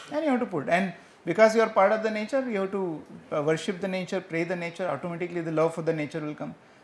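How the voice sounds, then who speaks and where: A man speaks very fast in a high pitch with ordinary pitch variation. Noticeable background noise runs underneath. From India, rural village. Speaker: professor. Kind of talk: Q&A answer after lecture. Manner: hesitant, with fillers.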